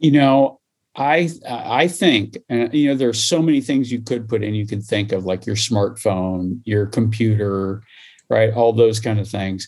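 A man speaks at a fairly slow pace with a Midwestern US accent. His pitch is medium, with ordinary variation. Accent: General American, Midwestern. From US Midwest, small-town Iowa. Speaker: higher education administrator. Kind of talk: interview.

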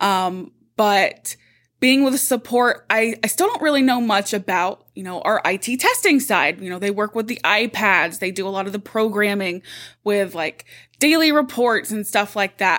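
Speaking at a moderate pace with a normal speaking voice, a woman uses a fairly high pitch and ordinary pitch variation. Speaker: podcast host, corporate support staff. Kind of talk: casual chat, workplace podcast.

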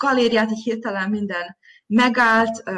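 A woman talks at a fairly high pitch and moderate pace, her intonation fairly even. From Vojvodina, Serbia (Zrenjanin). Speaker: visual artist. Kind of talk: interview. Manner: hesitant, many fillers.

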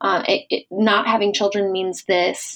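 A woman speaks with an American accent in an unremarkable speaking voice. Her pitch is medium and her pace is moderate. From rural US Midwest. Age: 30s. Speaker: business advisor. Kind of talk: casual interview.

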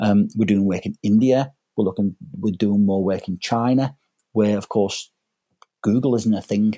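Dark and mellow in tone, a man speaks at a moderate pace with fairly even intonation. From northern England, inner-city Liverpool. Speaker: online education executive. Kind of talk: podcast interview. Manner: hesitant, many fillers.

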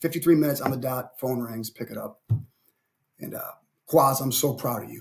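Somewhat breathy, a man with an American accent speaks at a moderate pace with fairly even intonation. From Cleveland, Ohio. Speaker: basketball coach and army veteran. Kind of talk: podcast interview. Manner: halting, repeats words.

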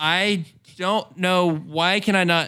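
A bright, sharp tone in an American accent, on a very clean recording with a silent background. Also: man. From US South, northwest Arkansas. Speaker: podcast co-host. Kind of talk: casual chat.

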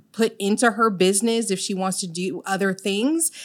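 An ordinary speaking voice with ordinary pitch variation at a moderate pace. The recording is very clean, with a silent background. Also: woman. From Illinois, of Jamaican parents. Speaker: mental health business owner. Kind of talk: interview.

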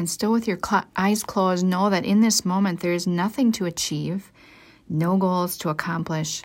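An ordinary speaking voice with fairly even intonation, in a very clean recording with a silent background. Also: woman, medium pitch for a woman. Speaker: devotional podcast host. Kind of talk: guided meditation. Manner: slow, soft-spoken, soothing and gentle, with unhurried pauses.

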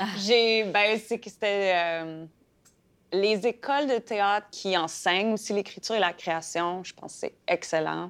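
A woman at a very slow pace, with big swings in loudness and ordinary pitch variation. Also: medium pitch for a woman. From Saskatchewan (Fransaskois). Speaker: playwright and actress. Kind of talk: interview. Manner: halting, many fillers.

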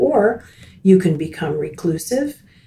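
The voice, with an American accent, is somewhat breathy with a dark, mellow tone. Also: woman. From US South, Miami, Florida. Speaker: retired teacher. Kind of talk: casual interview. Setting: studio.

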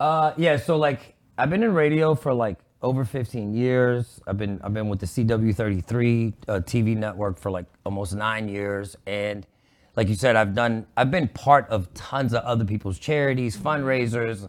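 This man has a plain, everyday voice at medium pitch, with an American accent and ordinary pitch variation. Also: moderate pace. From Pittsburgh, Pennsylvania. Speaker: radio and TV host.

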